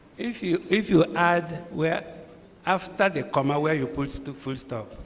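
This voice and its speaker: A man's high-pitched voice at a fairly slow pace, with ordinary pitch variation and noticeable background noise. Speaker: senior lawyer. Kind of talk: courtroom cross-examination. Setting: public hearing.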